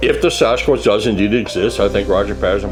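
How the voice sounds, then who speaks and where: A man talking very fast, with music in the background and audible echo in the room. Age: 60s. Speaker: Sasquatch researcher. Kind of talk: interview.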